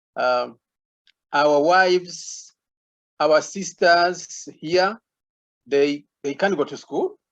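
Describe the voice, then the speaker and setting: Very slow speech with fairly even intonation and long, frequent pauses. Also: man, high pitch for a man. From Burundi. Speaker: community panelist. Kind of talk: online panel discussion. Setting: video call. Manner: halting.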